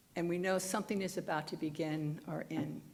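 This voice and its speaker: Audible room echo surrounds a woman speaking at a fairly low pitch with fairly even intonation. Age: old. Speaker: minister's assistant giving a dharma talk. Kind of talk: dharma talk. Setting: temple service with congregation. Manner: conversational, some halting restarts.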